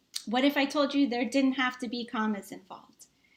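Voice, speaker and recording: Animated in tone, the speaker uses ordinary pitch variation with a Boston accent. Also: woman. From Massachusetts, US. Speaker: tech strategist, engineer. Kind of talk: online summit presentation, sales pitch.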